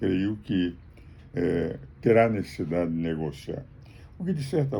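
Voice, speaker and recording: Very deep and low, a man's dark, mellow voice moves at a fairly slow pace with lively intonation. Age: 80s+. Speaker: jurist and political commentator. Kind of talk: political commentary monologue. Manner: formal.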